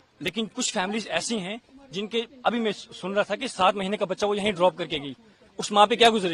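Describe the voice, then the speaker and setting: High-pitched man at a moderate pace, ordinary pitch variation, dry, close sound with no echo, and noticeable background noise. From India. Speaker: student interviewee leaving country. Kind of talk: street interview.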